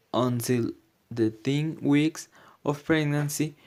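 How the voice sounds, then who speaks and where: Using a non-native accent, a man speaks at a very slow pace in a fairly high pitch with fairly even intonation. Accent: non-native, self-described bad pronunciation. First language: Spanish. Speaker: student presenter. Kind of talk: prepared presentation. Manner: halting, non-fluent.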